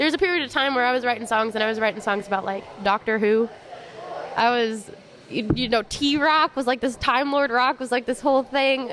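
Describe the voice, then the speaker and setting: Noticeable background noise sits behind the speaker. The pace is fairly quick, with ordinary pitch variation. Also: woman, high pitch for a woman. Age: 20s. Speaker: songwriter and musician. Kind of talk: casual chat.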